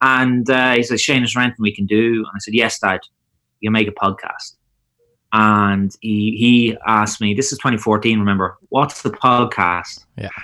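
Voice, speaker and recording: With an Irish accent, a man speaks at a moderate pace and medium pitch in a bright, sharp tone, his intonation fairly even, on a very clean recording with a silent background. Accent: Irish (Louth). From Ireland, Drogheda. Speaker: tech startup founder. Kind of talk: podcast interview.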